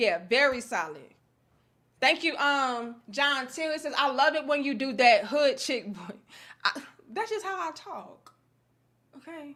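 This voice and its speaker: With a raised, projected voice, a woman speaks at a fairly slow pace in a high pitch, her bright, sharp tone animated, with very wide pitch swings, big swings in loudness and long, frequent pauses. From US Midwest, St. Louis. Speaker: livestream commentator. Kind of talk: live stream commentary reading chat.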